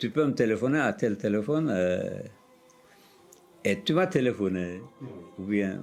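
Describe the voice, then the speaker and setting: A man's fairly low voice over background music, with very wide pitch swings, very even loudness, a fairly slow pace and long, frequent pauses. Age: 60s. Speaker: old friend of the filmmaker's father. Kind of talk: interview testimony. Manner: halting, hesitant with repetitions.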